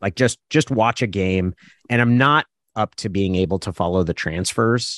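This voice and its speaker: An unremarkable speaking voice from a man with an American accent, fairly low in pitch with ordinary pitch variation, at a moderate pace, in a dry, close sound with no echo and a quiet background. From Oregon, US. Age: 40s. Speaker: sports journalist. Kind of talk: casual chat.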